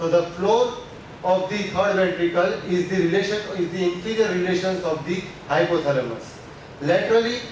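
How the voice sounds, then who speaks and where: Speech comes at a very fast pace amid light background noise and strong room echo. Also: man. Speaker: anatomy lecturer. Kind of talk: lecture. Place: classroom.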